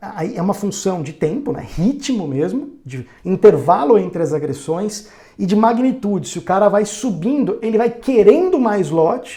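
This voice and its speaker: Over noticeable background noise, the voice moves with lively intonation and big swings in loudness. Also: man. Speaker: day trading educator. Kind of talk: tutorial. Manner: fast; hesitant fillers.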